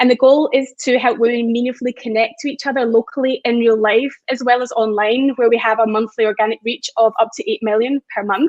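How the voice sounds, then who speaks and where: With a high pitch and fairly even intonation, a woman talks at a fairly quick pace. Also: hardly any pauses. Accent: Scottish. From Scotland. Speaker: community founder. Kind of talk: panel discussion.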